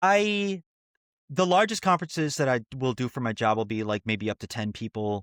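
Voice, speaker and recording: A man speaks in an ordinary speaking voice at a fairly quick pace, with lively intonation and a dry, close sound with no echo. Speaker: podcast co-host. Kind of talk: casual chat.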